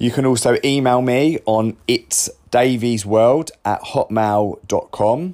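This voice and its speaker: Speaking very slowly with hardly any pauses, a man with a southern English accent keeps a very even loudness, a dark, mellow tone, medium pitch and ordinary pitch variation. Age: 30s. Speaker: podcaster. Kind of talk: personal diary-style monologue. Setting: caravan.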